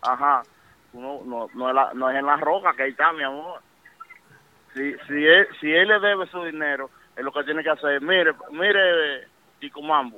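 A fairly high-pitched man at a fairly slow pace, with ordinary pitch variation and long, frequent pauses. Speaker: music industry insider. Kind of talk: casual chat. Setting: phone call.

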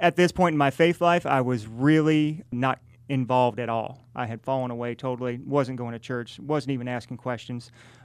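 Using a normal speaking voice, a man talks at a moderate pace with ordinary pitch variation and hardly any pauses. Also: medium pitch for a man. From rural southern Illinois, US Midwest. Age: 40s. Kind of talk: faith testimony interview.

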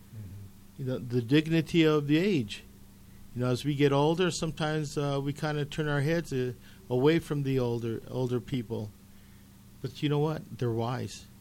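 A man talks at a moderate pace with ordinary pitch variation and a fairly high pitch. It is a normal speaking voice. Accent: American. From Colorado, Commerce City. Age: 60s. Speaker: retired teacher and author. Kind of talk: casual interview chat. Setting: radio studio.

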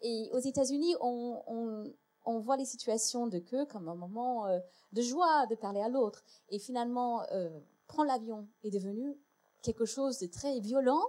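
With a dark, mellow tone and a high pitch, this woman talks at a fairly slow pace. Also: ordinary pitch variation. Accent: English. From United States. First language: English (speaking French). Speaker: historian and lecturer. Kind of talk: panel debate. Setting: stage with audience.

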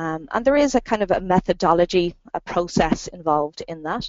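With an Irish accent, a woman speaks at a moderate pace in a fairly low voice. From Ireland. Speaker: marketing consultant and trainer. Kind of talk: interview. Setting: phone call.

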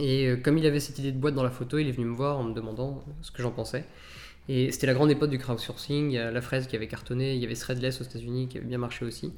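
A very fast, monotone, flat male voice at medium pitch, with audible room echo. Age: 30s. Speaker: startup founder and CEO. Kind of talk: interview.

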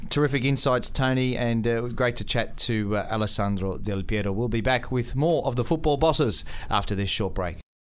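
A man talks at a moderate pace with hardly any pauses, at a medium pitch with ordinary pitch variation. He has a plain, everyday voice. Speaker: radio host and sports broadcaster. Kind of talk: radio interview.

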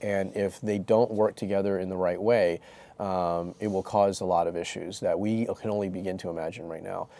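A man speaks at a moderate pace with a fairly low pitch, a dark, mellow tone and fairly even intonation, on a very clean recording with a silent background. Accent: American. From New York City (Chinatown), US. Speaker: venture capitalist. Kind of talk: interview.

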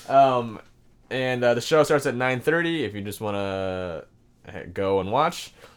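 Very slow, lively speech from a man at a medium pitch, with an American accent. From Washington State, Seattle suburbs. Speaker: comedian. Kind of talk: casual chat.

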